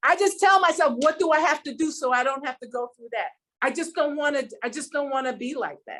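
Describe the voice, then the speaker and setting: Her loudness swings widely as this woman talks at a fairly quick pace in a high pitch. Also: ordinary pitch variation. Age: 70s. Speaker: physician. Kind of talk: casual chat. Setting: podcast interview. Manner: halting.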